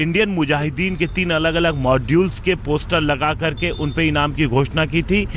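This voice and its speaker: A man talks at a fairly slow pace, the sound dry with no echo and light background noise behind him. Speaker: TV field reporter. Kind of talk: news report to camera. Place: street. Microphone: handheld.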